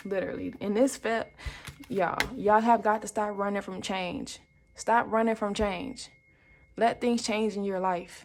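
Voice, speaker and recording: A woman speaks at a moderate pace in a fairly high pitch. Her tone is animated. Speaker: tarot card reader. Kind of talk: tarot reading for viewers. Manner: casual, animated; stumbles over words.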